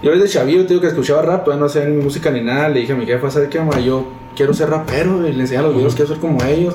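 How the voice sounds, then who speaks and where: Over background music, a man talks very fast at a fairly high pitch. The room has an audible echo. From Mexico, Chihuahua city. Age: 20s. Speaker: rapper. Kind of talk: casual interview chat. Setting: video recording.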